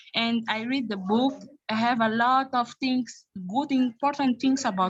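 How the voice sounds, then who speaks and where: Speaking slowly with a non-native accent, a woman has a high pitch and ordinary pitch variation. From Mozambique. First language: Portuguese. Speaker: youth leadership programme participant. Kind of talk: testimony. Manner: halting.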